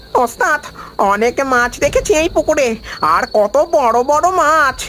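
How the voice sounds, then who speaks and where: A cartoonish, high-pitched character voice at a fairly slow pace, over clear background noise. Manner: colloquial, chatty.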